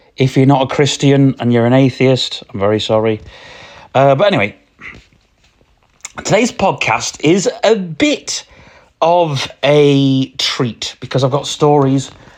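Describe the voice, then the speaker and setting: Using a British accent, the speaker goes at a fairly slow pace with long, frequent pauses and ordinary pitch variation. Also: man, fairly high pitch for a man. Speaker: podcast host. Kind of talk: casual solo podcast. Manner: halting, many fillers.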